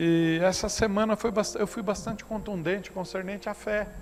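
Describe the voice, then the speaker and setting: Amid noticeable background noise and audible room echo, a man talks at a moderate pace with fairly even intonation. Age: 60s. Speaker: pastor. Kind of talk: sermon. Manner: conversational, anecdotal preaching.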